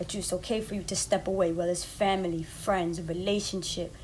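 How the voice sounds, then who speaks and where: Speaking fairly quickly, the woman keeps her voice at a medium pitch. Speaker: podcast host, life coach. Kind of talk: motivational podcast monologue. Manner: fast; animated.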